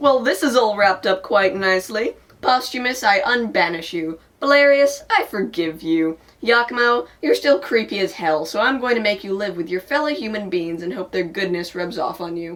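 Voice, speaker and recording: A woman in a put-on character voice at medium pitch. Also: moderate pace, lively intonation. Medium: stage play. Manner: offhand, comic.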